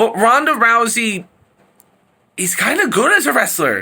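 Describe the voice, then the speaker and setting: With an extremely high pitch, a man speaks in a raised, projected voice. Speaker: wrestling commentary vlogger. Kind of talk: rant. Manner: stuttering.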